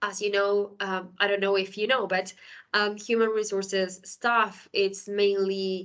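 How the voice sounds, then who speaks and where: Monotone, flat intonation at a fairly slow pace against a quiet background. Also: woman, medium pitch for a woman. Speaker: HR software consultant and speaker. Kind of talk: conference presentation. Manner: halting with many fillers.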